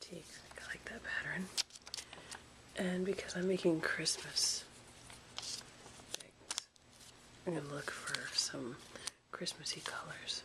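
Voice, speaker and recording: A soft-spoken woman talks at a fairly slow pace, with long, frequent pauses. Noticeable background noise is present. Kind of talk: craft tutorial to camera. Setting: home recording with some sound glitches.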